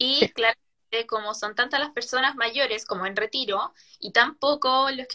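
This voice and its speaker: Raising and projecting her voice, a woman speaks at a high pitch with a bright, sharp tone at a moderate pace. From Chile, O'Higgins region. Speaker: writer and law student. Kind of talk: casual interview chat.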